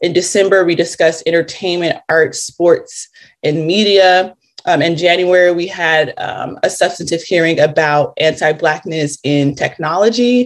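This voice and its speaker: A woman with a plain, everyday voice, fairly low in pitch, with an American accent, at a moderate pace. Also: fairly even intonation. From Los Angeles, California. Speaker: reparations task force member. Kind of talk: interview.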